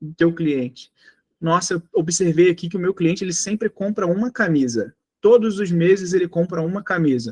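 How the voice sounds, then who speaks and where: A man with a Rio de Janeiro accent and a high-pitched voice, the sound dry and close with no echo. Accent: carioca. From Rio de Janeiro, Brazil. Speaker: sales trainer. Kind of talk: online training lecture.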